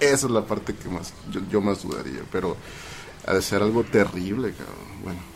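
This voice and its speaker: Over music in the background, a man with a Mexican accent speaks at a moderate pace in a fairly low pitch, with ordinary pitch variation and big swings in loudness. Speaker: video editor, UFO enthusiast. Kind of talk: casual chat.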